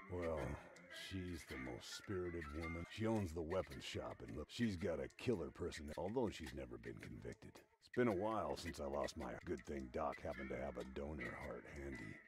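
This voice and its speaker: A man's put-on character voice, very deep and low-pitched, at a moderate pace. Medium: video game. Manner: grumbling, defensive.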